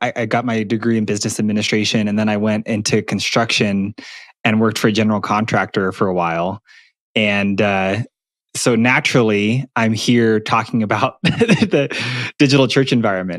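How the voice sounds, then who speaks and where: This man's pitch is fairly low, his intonation fairly even, and his pace moderate. The sound is dry with no echo, and the background is quiet. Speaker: podcast guest. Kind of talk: interview answer. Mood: relaxed, lightly humorous. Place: home room. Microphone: video call.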